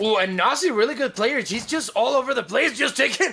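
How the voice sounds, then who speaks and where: A man speaks in a raised, projected voice with noticeable noise in the background. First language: Spanish. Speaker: esports caster. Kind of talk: live commentary. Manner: halting.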